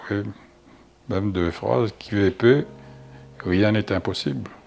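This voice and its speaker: A man talks very slowly in a fairly low voice, with lively intonation. Background noise is noticeable throughout. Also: long, frequent pauses, big swings in loudness. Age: 80s+. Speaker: interviewee. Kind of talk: interview. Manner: halting.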